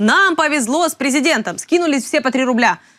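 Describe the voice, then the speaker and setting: Lively intonation runs through speech delivered at a fairly quick clip. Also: woman. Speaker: news commentary host. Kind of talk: satirical news review. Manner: sarcastic; hesitant with fillers.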